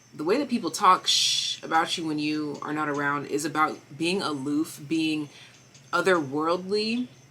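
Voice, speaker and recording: Noticeable background noise surrounds a woman with a very deep, low pitch. She keeps a moderate pace and ordinary pitch variation. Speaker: tarot reader. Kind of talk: tarot reading. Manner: stutters at times.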